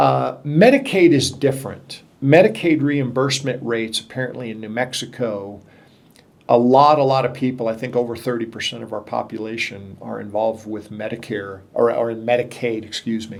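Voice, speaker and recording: In an ordinary speaking voice, a man talks at a moderate pace with ordinary pitch variation and big swings in loudness. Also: medium pitch for a man. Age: 60s. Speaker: podcast host. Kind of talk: interview.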